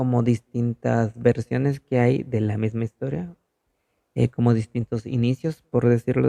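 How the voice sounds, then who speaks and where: A man's dark, mellow voice at medium pitch, at a moderate pace. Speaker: podcast host. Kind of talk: casual podcast narration. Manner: halting, stumbling.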